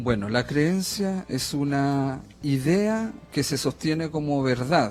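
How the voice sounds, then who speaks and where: Someone talks at a very slow pace in a Chilean accent, with lively intonation. Music plays in the background. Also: man, fairly high pitch for a man. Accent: Chilean, sing-song. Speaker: theologian and coach. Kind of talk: radio interview. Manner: hesitant, filler-heavy.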